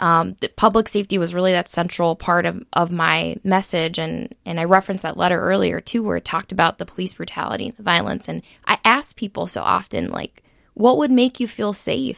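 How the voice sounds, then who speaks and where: Recorded very cleanly with a silent background and a dry, close sound without echo, a woman talks at a fairly quick pace. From Minnesota, Saint Paul area. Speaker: state senator-elect. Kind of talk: radio roundtable interview.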